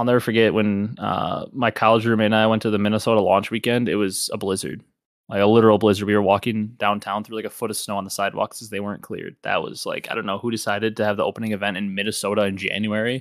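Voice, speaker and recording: Monotone, flat delivery at a very fast pace, on a very clean recording with a silent background. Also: man, fairly low pitch for a man. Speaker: podcast host. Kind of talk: casual chat about esports.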